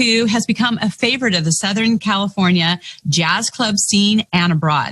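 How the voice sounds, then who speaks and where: A woman's normal speaking voice at medium pitch, moderate pace and ordinary pitch variation, very even in loudness, with a dry, close sound and no echo. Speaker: podcast host. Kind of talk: show host introduction.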